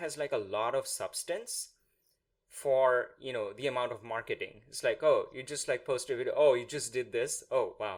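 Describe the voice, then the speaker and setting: The speaker has a Bengali accent. The pace is moderate. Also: man. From India. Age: 30s. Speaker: podcast host. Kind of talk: interview.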